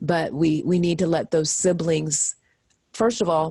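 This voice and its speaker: A woman's fairly low-pitched voice with vocal fry. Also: dry, close sound with no echo. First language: American Sign Language. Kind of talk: interview.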